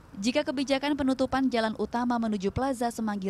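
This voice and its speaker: A woman with a fairly high pitch talks at a very fast pace, her pitch varying in an ordinary way. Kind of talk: news reading. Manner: formal, measured, steady newsreader delivery; clear, even and authoritative, voice-over narration pace.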